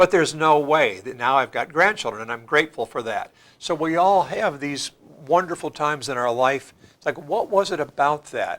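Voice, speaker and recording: A man speaks with an American accent. His pitch sits fairly high, and his intonation is lively. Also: moderate pace, very clean recording, silent background. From US Midwest. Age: 60s. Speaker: church leader. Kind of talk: panel discussion. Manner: halting.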